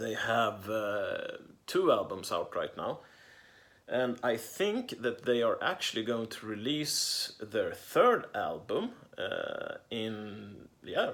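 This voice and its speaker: A man speaks with a Swedish accent. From Sweden. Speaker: record collector vlogger. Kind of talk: casual unboxing monologue. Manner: halting with many fillers.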